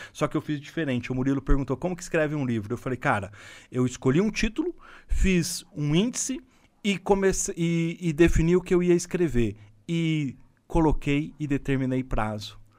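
An unremarkable speaking voice, a man's at a fairly high pitch, moves at a moderate pace with lively intonation on a very clean recording with a silent background. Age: 50s. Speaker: former company executive and entrepreneur. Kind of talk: interview.

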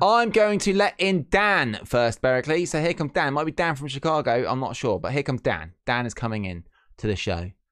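A man with a fairly high pitch talks at a fairly quick pace, his pitch swinging very widely. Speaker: wrestling podcast host. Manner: fast talker; mumbles.

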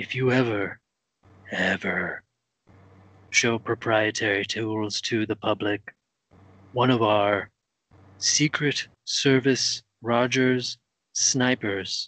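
A very slow delivery with long, frequent pauses. The sound is dry and close with no echo, over a quiet background. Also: man, medium pitch for a man. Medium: comedy sketch. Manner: mock-sweet, threatening.

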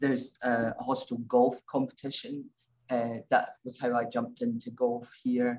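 A woman speaks with a Scottish accent. Her pace is fairly slow. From Scotland, Glasgow. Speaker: intensive care doctor. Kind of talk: interview.

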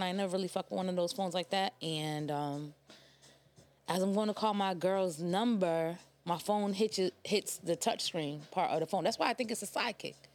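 Speaking at a moderate pace, a woman uses a plain, everyday voice of medium pitch with ordinary variation. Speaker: podcast guest. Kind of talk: casual chat.

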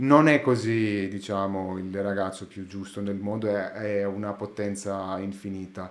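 With audible room echo, a man speaks at a fairly slow pace in a fairly low pitch and fairly even intonation. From Greece, Athens. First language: Greek (speaking Italian). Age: 30s. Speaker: sound engineer. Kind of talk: casual chat. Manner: halting.

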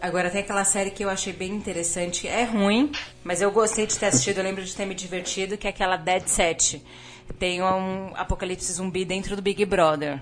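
A woman with a plain, everyday voice speaks fairly quickly at a medium pitch, her intonation fairly even. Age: 30s. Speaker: podcast guest. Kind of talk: casual chat.

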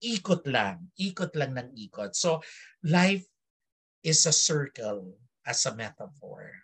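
A man at a very slow pace, fairly high-pitched with vocal fry and very wide pitch swings. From Philippines, Filipino Chinese community. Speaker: theater director and academic. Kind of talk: interview. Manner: halting, many fillers.

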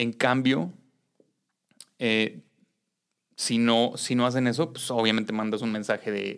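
Speaking with a Mexican accent, a man uses a medium pitch and ordinary pitch variation. His pace is fairly slow, with long, frequent pauses. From Mexico. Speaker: activist and educator. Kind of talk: interview conversation.

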